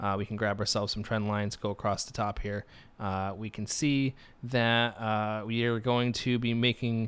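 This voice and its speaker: In a very clean recording with a silent background, a man with a plain, everyday voice speaks at a medium pitch and a moderate pace. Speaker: crypto chart analyst. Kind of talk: tutorial. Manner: many fillers (uh, um).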